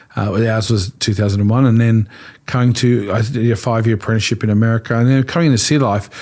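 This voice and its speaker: Talking very fast, a man speaks with an Australian accent. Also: medium pitch for a man, very even loudness. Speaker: pastor. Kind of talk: interview conversation. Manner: animated.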